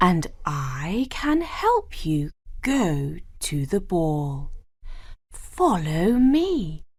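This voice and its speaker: This put-on character voice has a gentle tone and moves at a very slow pace. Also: woman, medium pitch for a woman. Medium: read story. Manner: gentle, kind.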